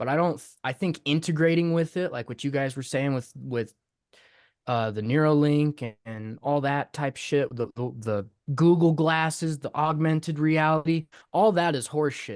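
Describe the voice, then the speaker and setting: A man with an unremarkable speaking voice talks at a moderate pace in a fairly high pitch with ordinary pitch variation, the sound dry and close with no echo over a quiet background. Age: 20s. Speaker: podcast guest, hip hop artist and producer. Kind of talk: casual chat.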